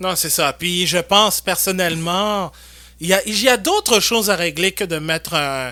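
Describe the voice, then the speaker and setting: A man's voice is high and bright, with a sharp tone and ordinary pitch variation. He keeps a moderate pace, and the recording is very clean with a silent background. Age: 20s. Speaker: podcast host. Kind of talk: casual chat.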